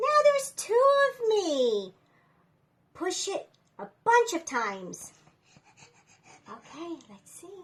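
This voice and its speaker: A woman's put-on character voice, squeaky and extremely high, animated in tone, at a fairly slow pace with long, frequent pauses. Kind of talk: read-aloud storytime. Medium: read story. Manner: animated, talks straight to the reader.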